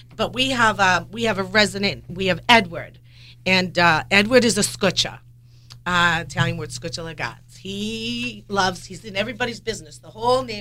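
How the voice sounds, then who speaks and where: The voice is bright and sharp with vocal fry and lively intonation. It moves at a moderate pace with big swings in loudness. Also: woman, medium pitch for a woman. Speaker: animal rescue volunteer. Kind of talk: radio talk show chat. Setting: radio studio.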